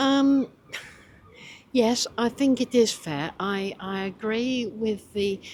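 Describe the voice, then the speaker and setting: Her intonation is lively. The woman speaks with a British accent. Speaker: pensioner interviewee. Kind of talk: street interview.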